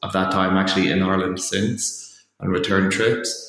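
A man in an Irish accent at a moderate pace, with audible room echo. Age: 30s. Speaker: freelance ghostwriter. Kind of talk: interview.

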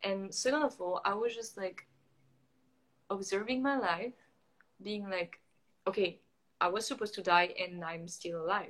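A woman speaks at a medium pitch with a French accent. She leaves long, frequent pauses. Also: ordinary pitch variation, moderate pace. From France. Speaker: photographer and coach. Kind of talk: casual chat. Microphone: sounds far away, weak Wi-Fi.

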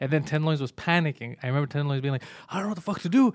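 Over a very clean recording with a silent background, a man talks at a very fast pace. His intonation is lively. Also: fairly high pitch for a man.

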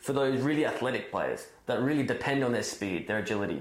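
Over noticeable background noise, a man talks fairly quickly at a fairly high pitch with ordinary pitch variation. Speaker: football academy co-host. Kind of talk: casual chat. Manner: mumbling.

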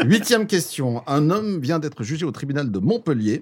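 A man speaks with a slight Swiss French accent, his pitch swinging very widely. The recording is very clean, with a silent background. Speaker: podcast host. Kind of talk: comedic news panel chat.

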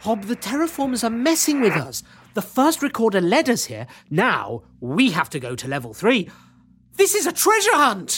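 In a put-on character voice, a woman speaks at a moderate pace with long, frequent pauses and very wide pitch swings. Her fairly high voice has a fairly bright tone with a slightly husky edge.

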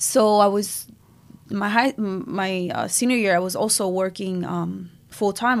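Delivered in a plain, everyday voice, the speech moves at a fairly slow pace with fairly even intonation. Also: woman. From Cuba, raised in Israel and US. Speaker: entrepreneur. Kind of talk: casual interview.

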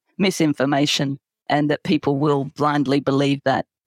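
A woman speaks with an Australian accent in a dry, close recording with no echo. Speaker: pediatric pain doctor and professor. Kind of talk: interview answers, expert explanation. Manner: measured, hesitant with fillers.

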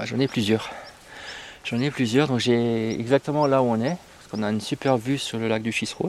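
Noticeable background noise sits behind a man at a medium pitch. He speaks at a moderate pace with fairly even intonation. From northern Vosges, France. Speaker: amateur wildlife photographer. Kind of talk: casual chat. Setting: outdoors. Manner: halting.

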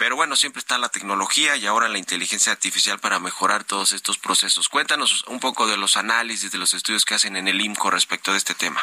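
Over noticeable background noise, a man talks at a very fast pace with hardly any pauses, his pitch medium with ordinary variation. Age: 30s. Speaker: business radio host. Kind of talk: live radio business news show. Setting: radio studio.

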